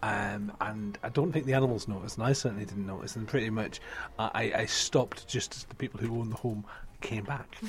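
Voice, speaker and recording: A man speaks at a medium pitch and a very fast pace. Noticeable background noise sits behind him. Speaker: book podcast host. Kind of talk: casual chat. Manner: animated.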